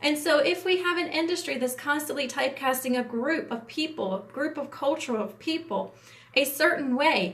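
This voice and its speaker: Over noticeable background noise and audible room echo, a woman with an American accent speaks in a high pitch with lively intonation. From US Appalachia. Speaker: entertainment industry producer. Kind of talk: livestream talk. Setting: livestream. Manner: fast; hesitant with fillers.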